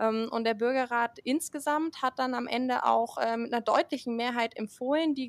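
In a plain, everyday voice, a woman with a fairly high pitch speaks at a moderate pace with ordinary pitch variation, recorded very cleanly against a silent background with a dry, close sound and no echo. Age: 20s. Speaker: climate activist, student. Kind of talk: podcast interview.

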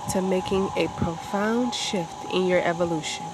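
A woman speaks at a fairly slow pace with a medium pitch, and there is noticeable background noise. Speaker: meditation guide. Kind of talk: guided meditation.

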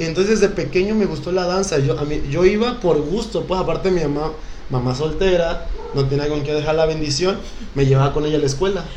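Speech at a fairly quick pace with ordinary pitch variation comes through audible room echo and noticeable background noise. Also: man, fairly high pitch for a man. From Mexico, Acapulco (Guerrero coast). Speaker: professional dancer. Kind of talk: casual chat.

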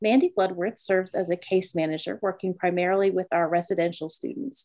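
A woman speaks in a dark, mellow tone at a fairly quick pace. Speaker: podcast host. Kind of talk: interview, professional chat.

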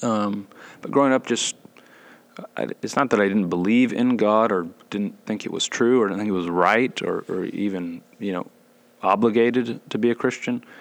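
In a normal speaking voice, the speaker moves at a moderate pace with fairly even intonation. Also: man, fairly low pitch for a man. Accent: American. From US South, Gwinnett County, Georgia. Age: 20s. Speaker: seminary student and new church elder. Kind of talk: casual chat.

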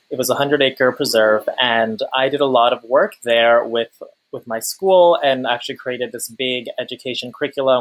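Using a normal speaking voice, a man with an American accent speaks at medium pitch and a moderate pace with fairly even intonation. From US Northeast, Long Island. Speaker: climate activist. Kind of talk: interview conversation.

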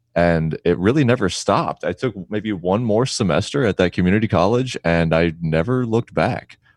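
Here a man with an unremarkable speaking voice and fairly low pitch talks at a moderate pace with lively intonation and hardly any pauses, in a dry, close sound with no echo and a quiet background. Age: 30s. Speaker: photographer. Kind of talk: interview.

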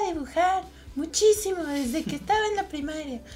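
Noticeable background noise sits behind a woman speaking in a central Mexican accent. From Mexico, Toluca (State of Mexico). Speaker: illustrator. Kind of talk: casual interview chat. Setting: in-person studio recording.

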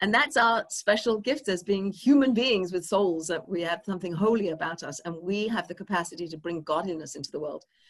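Speaking with an English accent, a woman has a medium pitch. Her intonation is lively. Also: fairly quick pace, hardly any pauses. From England. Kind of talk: interview conversation.

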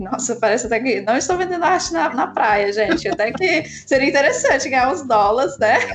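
Over noticeable background noise, a woman with a high pitch talks at a fairly quick pace with hardly any pauses, her tone animated, her pitch swinging very widely and her loudness very even. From Brazil. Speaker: 3D artist. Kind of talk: casual chat. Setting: remote call.

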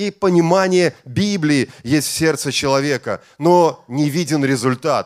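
Speaking at a very slow pace, a man with a fairly high pitch and ordinary pitch variation comes through in a dry, close sound with no echo. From Estonia. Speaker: bishop. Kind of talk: sermon.

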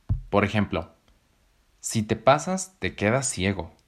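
An animated man with a Mexican accent, fairly low in pitch with very wide pitch swings, at a fairly slow pace, on a very clean recording with a silent background. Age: 20s. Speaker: podcast host. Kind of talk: scripted narration.

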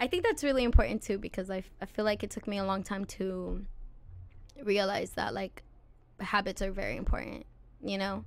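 A woman with an American accent speaks at a fairly quick pace and medium pitch, her intonation fairly even, with vocal fry and long, frequent pauses. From California, Santa Maria area. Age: 20s. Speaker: musician. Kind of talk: casual chat.

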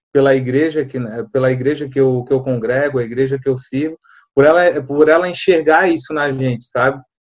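A man's monotone, flat intonation at a fairly quick pace. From Florianópolis, Santa Catarina, Brazil. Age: 30s. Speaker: assistant pastor. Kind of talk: podcast interview.

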